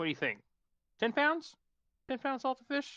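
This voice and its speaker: A man does a put-on character voice at an extremely high pitch, moving at a moderate pace. The background is quiet. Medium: actual play. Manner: pushy, haggling.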